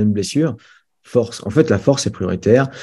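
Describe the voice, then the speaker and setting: At a fairly quick pace, a man speaks with a dark, mellow tone and ordinary pitch variation against a quiet background. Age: 40s. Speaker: strength and conditioning coach. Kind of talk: interview.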